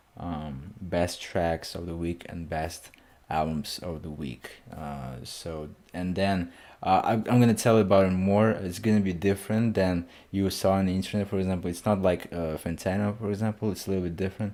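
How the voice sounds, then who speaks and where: A man's very deep, low voice with a non-native accent, dark and mellow in tone, with ordinary pitch variation at a moderate pace, on a very clean recording with a silent background. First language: not English. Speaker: music reaction youtuber. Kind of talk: casual album reaction.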